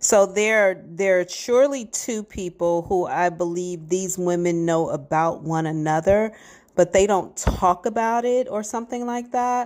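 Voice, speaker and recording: A woman speaks at a fairly slow pace over a quiet background. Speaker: psychic reader. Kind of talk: psychic reading monologue. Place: garden. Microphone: earbuds.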